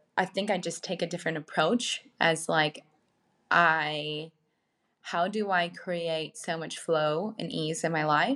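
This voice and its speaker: A woman with a plain, everyday voice speaks fairly slowly at a fairly low pitch on a very clean recording with a silent background. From rural Minnesota, US Midwest. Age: 30s. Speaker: wellness entrepreneur. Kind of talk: interview.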